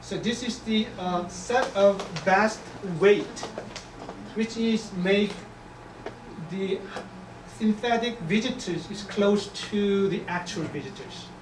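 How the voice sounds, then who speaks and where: Someone with a Korean accent speaks at a very slow pace, with long, frequent pauses. Noticeable background noise is heard. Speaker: economics professor. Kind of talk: lecture Q&A. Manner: halting.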